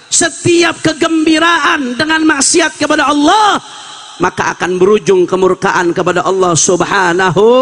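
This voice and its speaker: A man projects his voice loudly at a moderate pace with ordinary pitch variation. Noticeable background noise can be heard. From Jakarta (Betawi), Indonesia. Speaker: Islamic preacher. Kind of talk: sermon. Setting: religious gathering at a boarding school.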